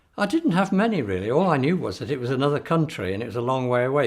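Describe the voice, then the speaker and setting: The speech runs at a very fast pace. Its intonation is lively. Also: man. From northern England, Manchester area, emigrated to Australia as a child. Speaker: oral history interviewee. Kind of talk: oral history interview. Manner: halting.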